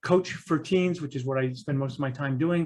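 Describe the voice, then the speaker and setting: This man talks at a very fast pace with ordinary pitch variation. His voice is somewhat breathy. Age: 60s. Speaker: parent coach and teen mentor. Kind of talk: interview conversation. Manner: animated.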